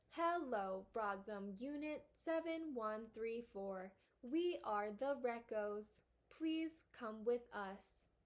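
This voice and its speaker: Putting on a robotic character voice, a woman speaks very slowly at a fairly high pitch. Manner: polite, flat.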